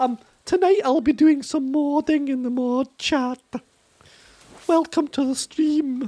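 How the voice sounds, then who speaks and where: A woman speaks with an English accent. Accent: English regional accent, speaker dislikes it. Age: 20s. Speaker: game streamer. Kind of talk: casual live-stream chat. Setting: live stream, reading chat. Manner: animated.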